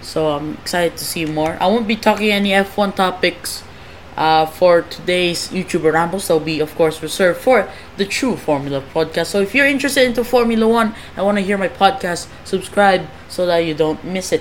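Noticeable background noise sits under a woman speaking at a medium pitch. Her pace is fairly quick, with ordinary pitch variation. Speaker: podcast host. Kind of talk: casual, self-deprecating rambling.

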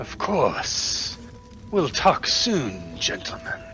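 Music plays clearly in the background. A man does a put-on character voice at a very slow pace. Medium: actual play. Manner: formal, measured, polite.

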